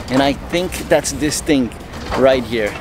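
A man talks with ordinary pitch variation. The sound is dry with no echo, and there is noticeable background noise. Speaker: sailing vlogger. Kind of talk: casual vlog chat. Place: boat. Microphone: phone near.

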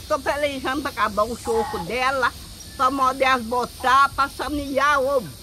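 A woman's raised, projected voice at a fairly slow pace, with ordinary pitch variation and light background noise. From Minas Gerais, Brazil. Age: 80s+. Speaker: elderly farm resident. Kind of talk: interview answer. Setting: outdoors. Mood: cheerful, laughing. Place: farm. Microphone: phone near.

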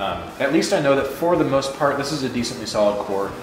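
Audible room echo and light background noise surround the recording. A man speaks at a very fast pace with ordinary pitch variation. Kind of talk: casual vlog chat. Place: garage. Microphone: phone near.

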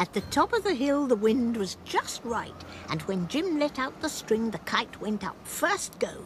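Through noticeable background noise, a woman speaks at a fairly slow pace in a high pitch with very wide pitch swings. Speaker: narrator. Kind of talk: children's cartoon narration.

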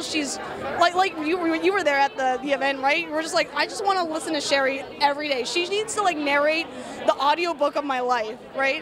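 A woman speaks at a fairly quick pace and a high pitch, with ordinary pitch variation. The sound is dry with no echo, and crowd noise fills the background. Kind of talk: interview answer. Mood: enthusiastic, warm. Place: hall. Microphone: handheld.

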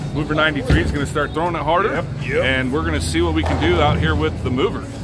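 A man talks at a very fast pace over loud music in the background. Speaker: channel host. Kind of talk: casual vlog chat. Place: hall.

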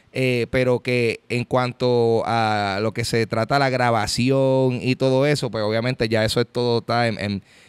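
Over a quiet background, a man talks at a fairly slow pace in a monotone, flat intonation with very even loudness. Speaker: podcast host. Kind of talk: casual podcast chat. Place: hall. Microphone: studio mic.

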